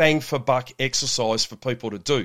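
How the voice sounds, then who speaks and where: A man speaks with an Australian accent on a very clean recording with a silent background. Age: 50s. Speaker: shift work health coach and police officer. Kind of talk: podcast interview.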